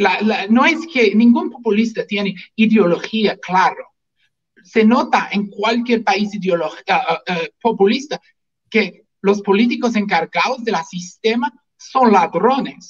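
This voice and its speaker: The speaker is a man with a high pitch. He talks very slowly. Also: ordinary pitch variation. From US, Washington state. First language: English (speaking Spanish). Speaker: physician and libertarian activist. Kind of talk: political talk show interview. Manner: halting, repeats words.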